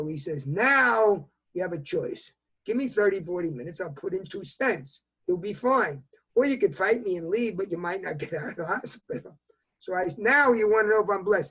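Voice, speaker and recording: A man with a New York accent, high in pitch, with a bright, sharp tone at a moderate pace. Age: 80s+. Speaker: fashion industry consultant. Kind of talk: interview answer.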